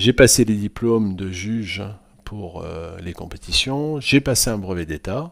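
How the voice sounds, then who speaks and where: Lively intonation marks a man speaking at a fairly slow pace with a fairly low pitch. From France, Limousin. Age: 60s. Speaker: sports club president. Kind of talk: podcast interview. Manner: hesitant, many fillers.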